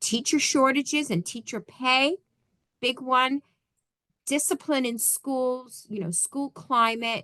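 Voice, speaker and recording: Raised and projected, a woman's bright, sharp voice sits at a high pitch, moving at a very slow pace with ordinary pitch variation. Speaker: school board trainer. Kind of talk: training presentation.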